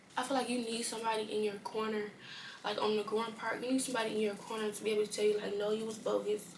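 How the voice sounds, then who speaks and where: The voice is soft-spoken, with monotone, flat intonation at a very fast pace. Background noise is noticeable. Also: woman, fairly high pitch for a woman. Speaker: YouTuber. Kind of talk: casual chat.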